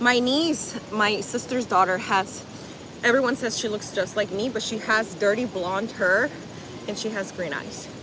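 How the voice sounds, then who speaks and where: A woman's fairly high voice at a moderate pace, with ordinary pitch variation, a slight Spanish accent and noticeable background noise. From Miami, US (born in Colombia). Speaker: fitness livestreamer, former gymnastics coach. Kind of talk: live stream chat while exercising.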